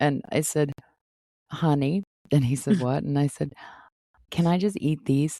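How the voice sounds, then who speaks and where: Dry and close with no echo, a woman's voice comes through with an American accent, a very deep, low pitch, a dark, mellow tone and ordinary pitch variation. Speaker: podcast host. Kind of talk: podcast conversation.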